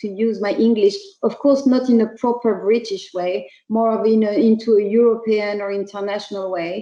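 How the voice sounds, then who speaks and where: A dark, mellow tone with a slight French accent. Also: woman. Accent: French accent, slight, still audible. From France. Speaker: startup CEO. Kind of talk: online talk for students. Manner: hesitant, many fillers.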